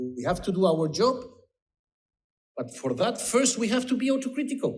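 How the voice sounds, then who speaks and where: Speaking at a moderate pace, a man uses an extremely high pitch and lively intonation. Audible room echo surrounds his voice. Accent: Spanish. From Spain. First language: Spanish. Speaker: politician. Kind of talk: conference speech. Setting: conference panel.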